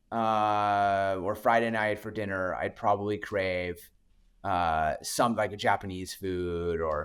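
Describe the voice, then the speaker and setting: Speaking with a Manitoba accent, a man keeps his fairly low voice in fairly even intonation, captured in a very clean recording with a silent background. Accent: Canadian (Manitoba), close to Minnesota. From Canada (Winnipeg, Manitoba). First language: French. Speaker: venture capital investor. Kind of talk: podcast interview. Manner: halting, many repetitions.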